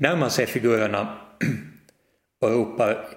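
This is a man with a medium pitch. His pitch varies in an ordinary way.

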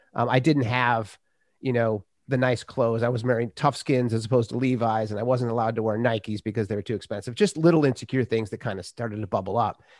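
A man's medium-pitched voice at a very fast pace with fairly even intonation, in a dry, close sound with no echo on a very clean recording with a silent background. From US Midwest, Minnesota. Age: 50s. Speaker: author and podcaster. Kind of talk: casual chat.

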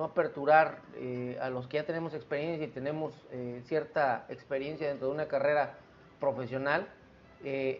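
Music in the background behind a man speaking at a fairly slow pace with fairly even intonation. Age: 40s. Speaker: podcast host. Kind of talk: solo monologue podcast.

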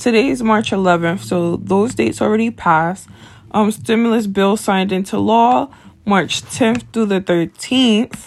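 Talking at a fairly slow pace, a woman has an unremarkable speaking voice with ordinary pitch variation. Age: 20s. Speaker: podcast host. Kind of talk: casual monologue.

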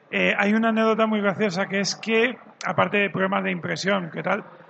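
A man talks with a high pitch. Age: 40s. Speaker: magazine editor-in-chief. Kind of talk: live panel discussion. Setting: stage with audience at a games fair.

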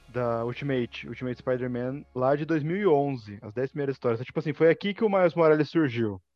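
A man speaks at medium pitch with a Brazilian accent and ordinary pitch variation. He talks at a fairly quick pace with hardly any pauses. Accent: countryside Brazilian. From Brazilian countryside (interior). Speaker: Star Wars YouTuber. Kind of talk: casual chat.

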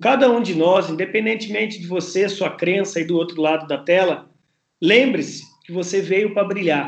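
At a moderate pace, a man talks with a high pitch. His pitch varies in an ordinary way. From Brazil, interior of São Paulo state (Campinas). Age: 40s. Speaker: writer, speaker and sales professor. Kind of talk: podcast interview.

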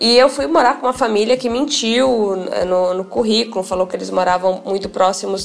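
Over noticeable background noise, a woman talks fairly quickly at a medium pitch with ordinary pitch variation. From Paraná interior, Brazil. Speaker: lawyer and author. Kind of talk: interview testimony.

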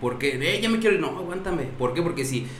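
A man with a high-pitched voice and lively intonation speaks amid noticeable background noise and audible room echo. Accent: Mexican. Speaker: bar owner. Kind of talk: casual chat. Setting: live stream.

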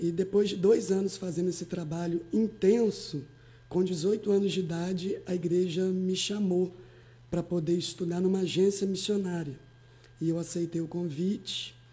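A woman speaks at a moderate pace in a medium pitch, somewhat breathy. Her tone is dark and mellow, with fairly even intonation. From Espírito Santo, Brazil (Alegre). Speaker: pastor. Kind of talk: podcast interview.

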